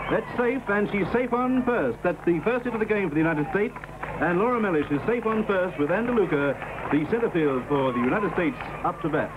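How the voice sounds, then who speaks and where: Upbeat and enthusiastic, the speaker talks at a very fast pace in an Australian accent, with lively intonation and very even loudness. Noticeable background noise runs underneath. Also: man, high pitch for a man. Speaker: sports commentator. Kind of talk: vintage sports broadcast commentary, live play-by-play. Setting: outdoor stadium, televised broadcast. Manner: brisk, rhythmic play-by-play delivery; upbeat, warmly enthusiastic, addressing American viewers as friends.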